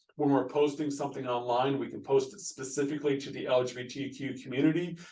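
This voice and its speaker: A man speaks very fast in a fairly high pitch, with a flat, monotone delivery and big swings in loudness. Audible room echo and noticeable background noise fill the recording. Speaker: pastor. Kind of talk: recorded video presentation to church board. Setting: screen-share video recording.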